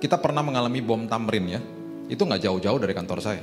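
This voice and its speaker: A man talks at a very fast pace while faint music plays in the background. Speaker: pastor. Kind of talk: sermon. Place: church. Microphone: handheld.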